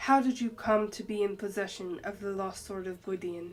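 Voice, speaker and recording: Using a put-on character voice at a medium pitch, a woman speaks at a moderate pace. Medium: read story. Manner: cool, unimpressed.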